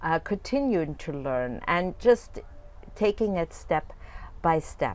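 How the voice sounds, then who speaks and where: A woman's fairly low voice with a non-native accent. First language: not English. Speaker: fitness coach. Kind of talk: video coaching talk. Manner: casual, with frequent fillers and restarts.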